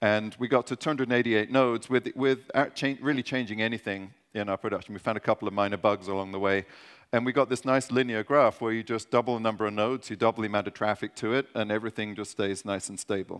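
Against a quiet background, a man speaks very fast with fairly even intonation. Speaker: conference presenter. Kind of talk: technical conference talk. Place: stage.

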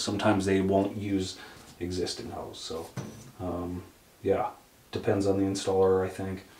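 Monotone and flat, a man's fairly low voice carries audible room echo. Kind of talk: tutorial. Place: bathroom. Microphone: camera far.

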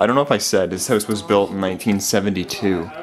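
Light background noise sits behind a man speaking at a moderate pace in a fairly low pitch. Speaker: urban explorer narrator. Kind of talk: casual vlog chat. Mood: amazed, slightly wistful. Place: home room. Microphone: phone near.

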